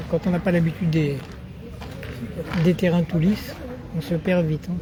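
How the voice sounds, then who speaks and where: A man's high-pitched voice at a moderate pace, monotone and flat in intonation, with very even loudness and noticeable background noise. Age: 70s. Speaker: amateur sports videographer and commentator. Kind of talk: casual chat; live commentary. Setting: outdoors at a petanque tournament. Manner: casual.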